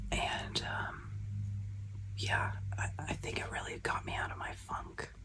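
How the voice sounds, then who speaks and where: A whisper over noticeable background noise. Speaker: glitter maker and content creator. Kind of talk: casual chat. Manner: whispering; soft-spoken.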